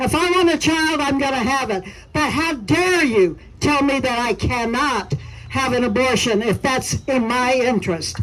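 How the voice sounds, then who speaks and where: A woman speaks with a high pitch and lively intonation at a moderate pace, her loudness very even, over noticeable background noise. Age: 70s. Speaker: activist. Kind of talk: rally speech.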